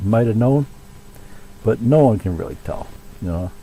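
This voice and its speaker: Noticeable background noise runs under the recording. A man speaks at a medium pitch with ordinary pitch variation. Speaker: music teacher giving band advice. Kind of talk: tutorial. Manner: casual, with many fillers.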